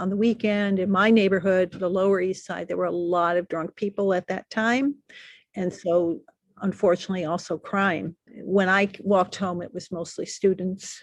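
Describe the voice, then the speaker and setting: In an American accent, a woman speaks with an unremarkable speaking voice at medium pitch and a moderate pace, her intonation fairly even, in a dry, close sound with no echo over a quiet background. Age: 60s. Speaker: artist. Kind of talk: interview conversation. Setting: outdoors on a street.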